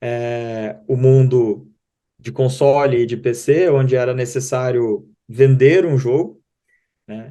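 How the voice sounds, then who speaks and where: A man with a Rio Grande do Sul accent, dark and mellow in tone, at medium pitch with fairly even intonation. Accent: southern Brazilian (gaúcho), noticeable. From southern Brazil (Rio Grande do Sul). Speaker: digital marketing company co-founder. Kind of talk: interview. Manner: halting, many fillers and repetitions.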